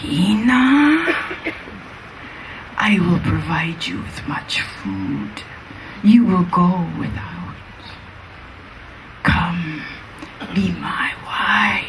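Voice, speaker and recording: In a put-on character voice, a woman speaks at a very slow pace with long, frequent pauses against clear background noise. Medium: read story. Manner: menacing.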